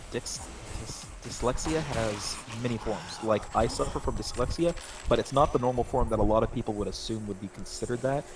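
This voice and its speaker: Music runs behind a man talking at a moderate pace. His medium pitch shows ordinary pitch variation. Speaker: gaming streamer. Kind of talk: casual chat. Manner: halting.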